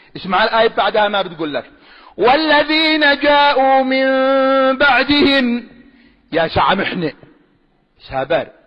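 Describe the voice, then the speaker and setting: Passion runs through a man's extremely high voice. He speaks at a very slow pace. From Sanaa, Yemen. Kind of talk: religious argument, preaching. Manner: passionate, emphatic.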